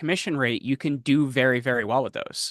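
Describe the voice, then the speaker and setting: A man with a New Jersey accent talks at a fairly quick pace in a bright, sharp tone with fairly even intonation. The sound is dry and close with no echo, over a quiet background. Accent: New Jersey American. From New Jersey, US. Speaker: podcast host and media consultant. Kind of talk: interview. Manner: fast.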